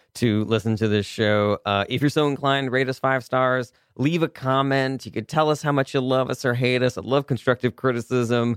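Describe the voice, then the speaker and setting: Using an unremarkable speaking voice, a man talks at a moderate pace and medium pitch with hardly any pauses, very even loudness and fairly even intonation, in a dry, close sound with no echo. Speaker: comedy radio show host. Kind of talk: improvised comedy interview. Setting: radio studio.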